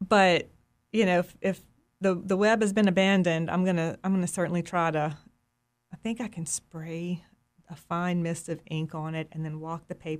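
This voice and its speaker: With an American accent, a woman uses an ordinary speaking voice at fairly low pitch, with fairly even intonation and a moderate pace. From US South, Mississippi Delta. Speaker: fish printing artist. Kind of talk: interview conversation.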